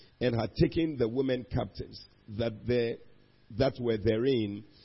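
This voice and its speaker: A man at medium pitch speaks at a fairly slow pace, with music playing in the background. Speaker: bishop preaching online church service. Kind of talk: fervent pulpit prayer with call-and-response. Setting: online church service streamed from church.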